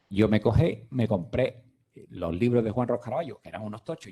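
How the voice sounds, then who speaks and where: A man talks at a fairly quick pace in a medium pitch. His dark, mellow tone is somewhat breathy. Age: 60s. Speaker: physician. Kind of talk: lecture. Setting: conference room, streamed online.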